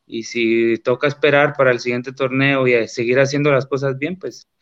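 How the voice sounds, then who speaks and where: A man talks at a medium pitch. He uses a normal speaking voice. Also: dry, close sound with no echo, quiet background. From Guatemala, Boca del Monte. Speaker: professional footballer. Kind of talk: interview.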